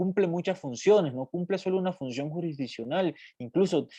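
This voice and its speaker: A man's high-pitched voice with a dark, mellow tone comes through dry and close, with no echo. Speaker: university law professor. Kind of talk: lecture. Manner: halting, many fillers.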